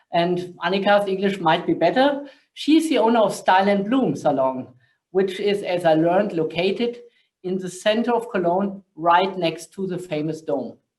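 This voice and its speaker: In a German accent, a man with a high pitch speaks at a moderate pace with lively intonation. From Germany. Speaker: corporate sustainability director, panel moderator. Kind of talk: panel discussion moderation.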